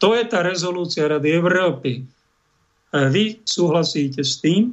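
A man is speaking here. His pitch is high. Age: 50s. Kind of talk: religious commentary monologue. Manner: animated.

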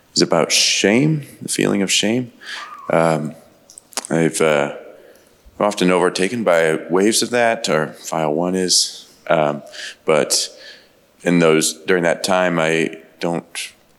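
Noticeable background noise surrounds a man whose very deep, low voice moves at a very slow pace with long, frequent pauses and ordinary pitch variation. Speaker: audience member asking questions. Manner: hesitant, halting with fillers.

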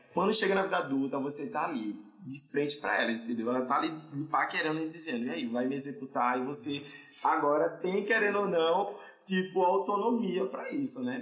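Amid noticeable background noise and audible room echo, a man speaks in a fairly high voice with very wide pitch swings. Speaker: podcast host. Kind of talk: casual chat. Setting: studio.

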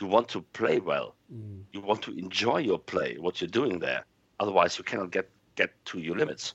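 A man with a German accent speaks at a moderate pace, his loudness swinging widely. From Germany. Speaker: football podcast panelist. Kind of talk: casual chat.

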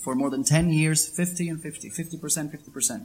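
A man with a Spanish accent. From Venezuela, Caracas. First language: Spanish (speaking Slovak). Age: 20s. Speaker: interviewee on life in Venezuela. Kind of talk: interview with interpreter.

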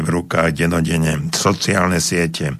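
A man with a very deep, low voice talks at a fairly slow pace. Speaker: psychologist and radio host. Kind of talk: radio advice call-in show. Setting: radio studio. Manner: loud, not soft.

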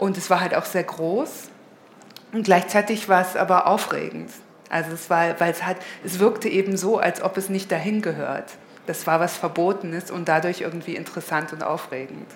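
At a moderate pace and with fairly even intonation, the voice comes through audible room echo and noticeable background noise. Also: woman. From northern Hesse, Germany (near Kassel). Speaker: guest speaker at an art school event. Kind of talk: public interview on stage. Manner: halting, many fillers.

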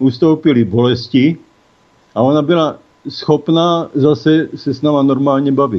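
An ordinary speaking voice from a man, pitched fairly high and with ordinary pitch variation. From Czechia, South Moravia. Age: 60s. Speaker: cannabis legalization activist, caregiver father. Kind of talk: interview. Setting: phone call.

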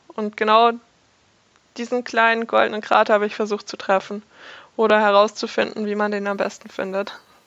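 Fairly quick, monotone, flat speech from a woman at a fairly high pitch, broken by long, frequent pauses. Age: 20s. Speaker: game design student. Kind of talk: interview.

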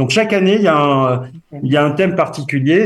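Here a man speaks with a southwestern French accent. His pitch is fairly high and varies in an ordinary way. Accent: southwestern French, noticeable. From southwest France. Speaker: association member, guest. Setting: phone call, remote.

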